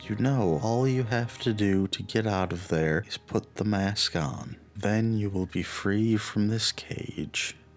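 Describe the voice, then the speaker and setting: A man puts on a character voice, fairly low in pitch and sing-song, at a fairly slow pace with hardly any pauses. Clear background noise is present. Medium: read story. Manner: cheery, sing-song.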